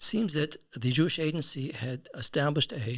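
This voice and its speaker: With a somewhat breathy quality, this man's voice shows ordinary pitch variation. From US South (Atlanta). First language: Yiddish. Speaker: podcast guest. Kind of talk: storytelling interview. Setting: studio. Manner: halting, repetitive.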